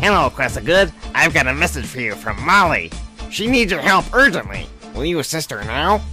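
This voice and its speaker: A man's fairly high voice at a fairly quick pace, with clear music in the background. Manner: polite, helpful.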